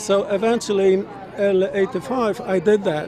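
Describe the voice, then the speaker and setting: A man with a Polish accent speaks at a high pitch and a fairly slow pace. Crowd noise is heard in the background. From Poland. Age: 60s. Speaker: interviewee at a political rally. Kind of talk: street interview.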